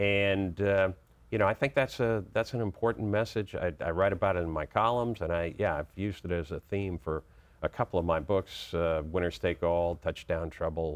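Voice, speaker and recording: Against a quiet background, a man with an American accent talks at a moderate pace in a very deep, low pitch with ordinary pitch variation. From Boston, US. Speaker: children's sports author. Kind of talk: interview. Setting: studio. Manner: halting, many fillers.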